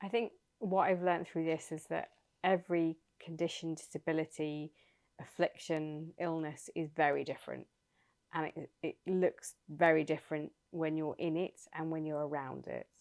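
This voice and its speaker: In a dry, close sound with no echo, a woman with a very deep, low pitch speaks at a moderate pace in a monotone, flat intonation. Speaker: motorsport broadcaster and author. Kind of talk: interview. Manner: halting.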